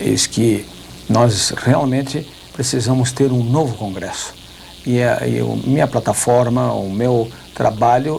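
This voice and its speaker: A man keeps his intonation fairly even, with noticeable background noise present. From southern Brazil. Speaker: politician. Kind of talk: TV debate interview.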